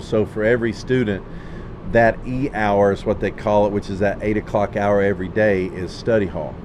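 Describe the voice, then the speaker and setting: Noticeable background noise runs beneath a man speaking at a moderate pace in a fairly low pitch. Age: 40s. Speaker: high school football coach. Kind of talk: casual chat.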